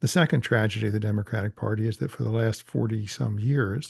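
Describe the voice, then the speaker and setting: A man's somewhat breathy, fairly low-pitched voice at a fairly quick pace, against a quiet background. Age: 70s. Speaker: political organizer and author. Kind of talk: interview.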